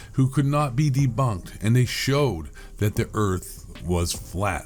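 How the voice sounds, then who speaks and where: With lively intonation, a man speaks at medium pitch in a somewhat breathy voice. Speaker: conspiracy commentator. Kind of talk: casual monologue rant. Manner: fast; animated.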